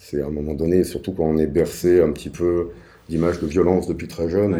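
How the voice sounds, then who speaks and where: A man's very deep, low pitch with a dark, mellow tone, fairly even intonation and a fairly quick pace, heard with audible room echo. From Paris suburbs, France. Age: 40s. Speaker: podcast guest sharing life story. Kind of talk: personal testimony interview. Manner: hesitant, many fillers.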